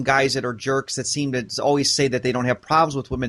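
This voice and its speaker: Very fast and energetic, a man speaks with a passionate tone at a fairly high pitch. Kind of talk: interview conversation. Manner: energetic, passionate.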